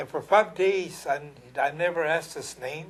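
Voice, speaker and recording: This man has an American accent and a somewhat breathy voice. He talks at a fairly slow pace with ordinary pitch variation. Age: 80s+. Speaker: war veteran and painter. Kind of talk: interview testimony. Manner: halting.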